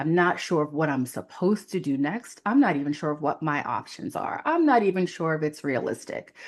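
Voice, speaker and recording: A woman with an American accent speaks at a very deep, low pitch, with lively intonation and a fairly quick pace. She hardly pauses, and the background is quiet. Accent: New York, comes and goes. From New York City (Queens). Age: 40s. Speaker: career coach. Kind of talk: casual chat. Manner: many fillers and false starts.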